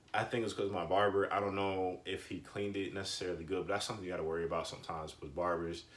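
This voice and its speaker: A man with a very deep, low pitch talks very fast, with hardly any pauses and fairly even intonation. Audible room echo surrounds his voice. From US South. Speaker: YouTuber, hair care vlogger. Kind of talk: casual vlog tutorial. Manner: soft-spoken, quiet; casual, rambling with fillers.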